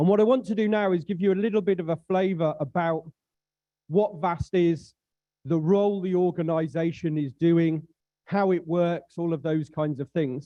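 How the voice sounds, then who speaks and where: A man with a high pitch and a British accent, at a moderate pace with ordinary pitch variation. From Britain. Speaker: aviation safety official, conference speaker. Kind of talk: conference presentation.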